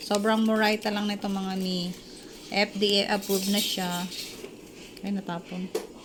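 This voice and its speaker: A woman's medium-pitched voice, monotone and flat, at a moderate pace with long, frequent pauses and noticeable background noise. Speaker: vlogger. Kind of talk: casual vlog with product review. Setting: at home during a power outage.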